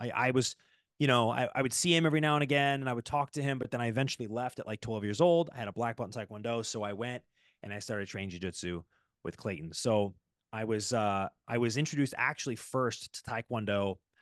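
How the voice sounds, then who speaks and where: A man at a very fast pace, with ordinary pitch variation and a dry, close sound with no echo. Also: medium pitch for a man, quiet background. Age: 20s. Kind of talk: casual interview answer.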